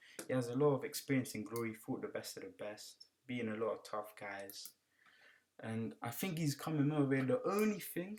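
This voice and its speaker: With a British accent, a man speaks at a medium pitch and a moderate pace. His intonation is lively. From UK. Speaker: kickboxing analyst. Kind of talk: fight predictions commentary. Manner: casual, conversational.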